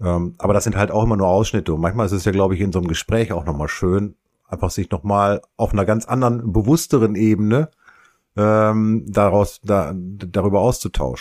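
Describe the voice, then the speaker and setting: Fairly low in pitch, a man speaks at a fairly quick pace. The recording is very clean, with a silent background. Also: ordinary pitch variation. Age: 50s. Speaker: podcast co-host. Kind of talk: casual chat. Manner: halting.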